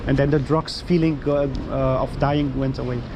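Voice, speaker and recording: With a Dutch accent, a man talks at a fairly quick pace and a fairly high pitch with fairly even intonation. Noticeable background noise and audible room echo fill the recording. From Netherlands. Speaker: street evangelist. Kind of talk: casual chat. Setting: outdoors. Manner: halting.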